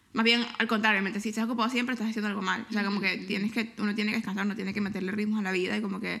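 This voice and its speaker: A woman with a fairly high pitch talks at a very fast pace with hardly any pauses. Her intonation is monotone and flat, with noticeable background noise behind her. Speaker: podcast co-host. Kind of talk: casual chat. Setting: living room at home.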